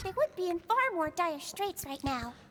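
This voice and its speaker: A squeaky, put-on character voice swings very widely in pitch at a moderate pace. Background noise is clearly audible. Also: woman, extremely high pitch for a woman. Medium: video game. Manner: polite, soft-spoken.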